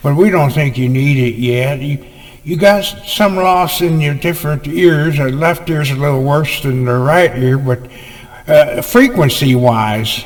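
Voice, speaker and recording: Noticeable background noise sits behind a man with an American accent. His fairly high voice moves at a fairly slow pace with ordinary pitch variation. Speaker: comedian. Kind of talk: comedic storytelling to camera. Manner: relaxed, rambling.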